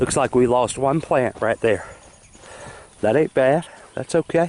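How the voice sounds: A man's slightly mellow voice at medium pitch, fairly slow in pace, with ordinary pitch variation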